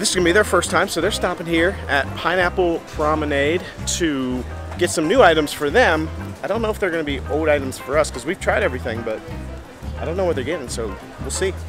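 Over clear background music, a man talks very fast in a dry sound with no echo. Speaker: travel vlogger. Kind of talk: casual vlog chat. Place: street. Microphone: phone near.

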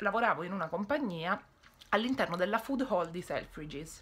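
A woman speaks with lively intonation and a bright, sharp tone. Her pace is fairly quick. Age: 20s. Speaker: YouTuber / vlogger; vlogger. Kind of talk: casual monologue vlog. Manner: halting, mild stutter; frequent pauses searching for words. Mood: frustrated venting at times. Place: home room. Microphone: phone near.

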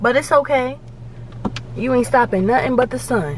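The sound is dry with no echo, though noticeable background noise can be heard. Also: woman. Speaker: vlogger. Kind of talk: casual vlog chat. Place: car. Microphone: phone near.

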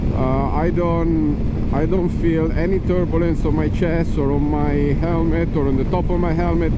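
Loud background noise runs under a dry sound with no echo. The pace is fairly slow. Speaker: motorbike rider reviewer. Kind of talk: commentary. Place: motorbike. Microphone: helmet.

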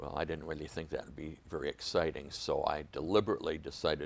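A man with an Upper Midwest accent talks at a fairly quick pace. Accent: Upper Midwest American. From Michigan, Muskegon; Michigan. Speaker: Vietnam war veteran. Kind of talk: oral history interview. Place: studio. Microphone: lapel.

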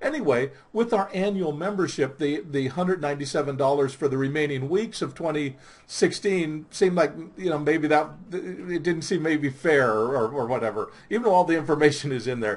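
A somewhat breathy man, fairly quick in pace, with lively intonation. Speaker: professional Santa Claus and Santa trainer. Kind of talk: casual talk to camera, membership promotion. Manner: casual, hesitant with fillers. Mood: warm, friendly, helpful. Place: home room. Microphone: webcam.

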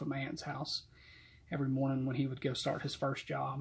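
Here a man speaks at a fairly high pitch with a Southern US accent. His voice is somewhat breathy. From US South, Georgia. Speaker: church deacon and Sunday school teacher. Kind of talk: youth Bible study talk and testimony. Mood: calm, reflective. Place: home room. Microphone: webcam.

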